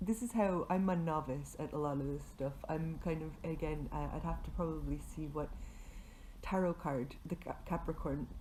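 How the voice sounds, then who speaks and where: A woman speaks in a very deep, low pitch with a dark, mellow tone and vocal fry. Her pace is moderate, with ordinary pitch variation. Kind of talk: casual talk to camera. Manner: hesitant, many filler words.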